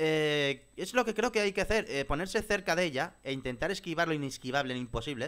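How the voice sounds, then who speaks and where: Over a quiet background, a man talks at a fairly quick pace with lively intonation. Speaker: gamer streamer. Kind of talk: gaming commentary. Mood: frustrated, exasperated. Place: home room. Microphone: headset.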